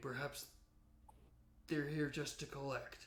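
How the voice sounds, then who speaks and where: Putting on a character voice, a man talks at a fairly slow pace with a raspy sound and a fairly high pitch. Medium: actual play. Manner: insistent, calming.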